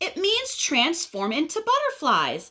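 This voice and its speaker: A woman uses a put-on character voice at an extremely high pitch. She speaks fairly slowly, with very wide swings in pitch. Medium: read story. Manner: calm but increasingly exasperated.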